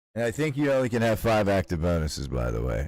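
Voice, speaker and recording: The pace is very fast as a man talks. The recording is very clean, with a silent background. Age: 40s. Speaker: video game streamer. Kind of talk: casual live gameplay chat. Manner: casual, profane.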